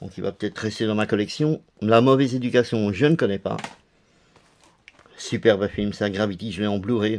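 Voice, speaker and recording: Fairly low in pitch with fairly even intonation, a man talks at a fairly quick pace but leaves long, frequent pauses. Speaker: DVD collector youtuber. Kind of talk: casual video presentation.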